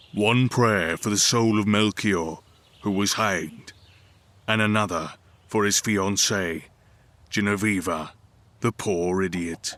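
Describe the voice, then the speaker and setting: Using a put-on character voice, a man speaks at a fairly low pitch with fairly even intonation. His delivery is fairly slow, with long, frequent pauses. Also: very even loudness. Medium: read story. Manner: blunt, plain-spoken.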